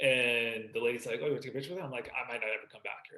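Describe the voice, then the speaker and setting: This man talks at a very fast pace. He has a slight Canadian accent. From Vancouver, Canada. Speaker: sports broadcaster. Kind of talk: podcast interview.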